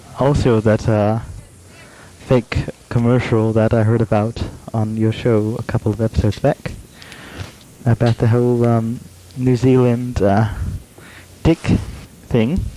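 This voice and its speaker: Delivered at a fairly slow pace with fairly even intonation and long, frequent pauses, the dry, close sound has no echo but carries noticeable background noise. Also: man, medium pitch for a man, very even loudness. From Alaska, US. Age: 20s. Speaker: blind guest, aspiring network administrator student. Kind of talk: casual chat. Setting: video call, satellite internet with dropouts. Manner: hesitant, many filler words.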